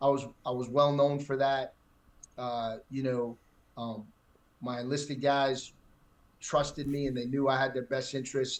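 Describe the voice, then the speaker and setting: Using a New York accent, a man talks at a moderate pace with monotone, flat intonation and long, frequent pauses. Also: medium pitch for a man. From New York City, Manhattan. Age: 60s. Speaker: retired military pilot. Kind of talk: casual interview. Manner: halting, many fillers and repeats.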